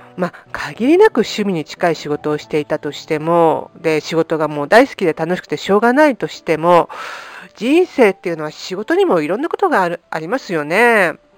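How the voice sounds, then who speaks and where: A woman's plain, everyday voice, fairly low in pitch, at a fairly quick pace, with lively intonation, big swings in loudness and a dry, close sound with no echo. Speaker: podcast host and life coach. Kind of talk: casual podcast monologue.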